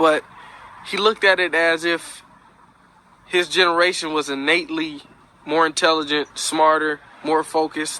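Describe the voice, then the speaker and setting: Long, frequent pauses break up a man's flat, monotone speech. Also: fairly high pitch for a man, moderate pace. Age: young. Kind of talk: casual spoken commentary.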